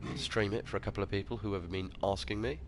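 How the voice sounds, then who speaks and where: A man talks at a moderate pace with a British accent. His pitch varies an ordinary amount. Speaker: game streamer. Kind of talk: live gameplay stream chat. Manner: casual, relaxed.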